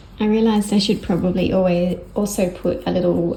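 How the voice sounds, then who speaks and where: The speaker moves at a fairly quick pace. Room echo is audible. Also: woman. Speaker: crafter. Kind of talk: tutorial. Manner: soft-spoken.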